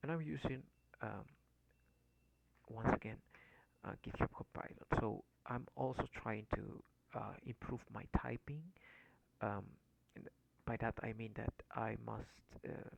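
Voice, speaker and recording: A man whispers at a fairly slow pace, with long, frequent pauses. The sound is dry and close, with no echo. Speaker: programming learner, coding tutorial maker. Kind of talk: tutorial. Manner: halting, many fillers.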